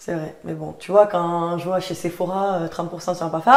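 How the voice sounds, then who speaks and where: A woman talks at a fairly quick pace in a Toulouse accent. Noticeable background noise runs behind her. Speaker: podcast host, online content trainer. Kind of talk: casual chat.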